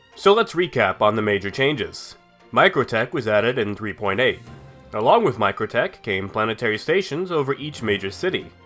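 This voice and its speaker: A man at a fairly quick pace with very wide pitch swings, music in the background. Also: medium pitch for a man. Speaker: gaming news host. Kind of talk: scripted gaming market report narration.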